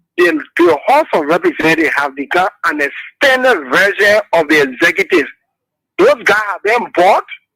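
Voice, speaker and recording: A man projects a raised, bright, sharp voice at a high pitch with very wide pitch swings and a moderate pace, recorded dry and close with no echo. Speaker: caller. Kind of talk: call-in political talk.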